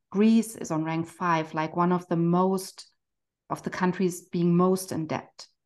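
Against a quiet background, a woman with a German accent and a fairly low pitch speaks at a fairly slow pace. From Germany. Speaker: financial coach, therapist. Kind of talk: casual interview conversation.

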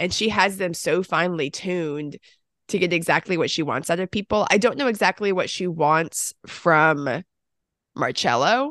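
Over a quiet background, a woman with an ordinary speaking voice and fairly low pitch talks at a moderate pace with lively intonation, the sound dry and close with no echo. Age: 30s. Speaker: film podcast co-host. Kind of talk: casual chat. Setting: home recording, separate room.

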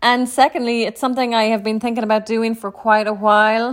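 A woman speaks with a Clare accent at a fairly quick pace. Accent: Irish (western, Clare). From Ireland, County Clare. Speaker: podcast host, entrepreneur. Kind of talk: solo podcast monologue.

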